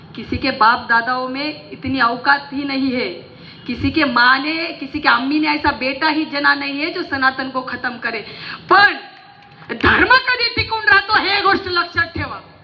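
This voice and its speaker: Over noticeable background noise, a woman speaks at a high pitch in a passionate tone with lively intonation. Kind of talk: fiery public political-religious rally speech. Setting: stage with PA system before a large crowd. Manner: forceful, passionate, rousing, loud.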